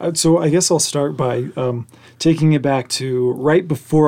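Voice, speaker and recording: A man speaks with an American accent in a fairly high pitch. His tone is dark and mellow, with ordinary pitch variation. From Oklahoma, rural. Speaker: digital creator. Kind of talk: casual chat.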